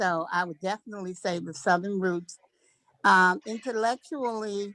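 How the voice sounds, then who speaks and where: A woman speaks in a bright, sharp tone, and her loudness swings widely. The sound is dry and close, with no echo. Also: medium pitch for a woman, ordinary pitch variation, moderate pace. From Washington DC. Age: 70s. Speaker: class participant. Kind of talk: casual group sharing.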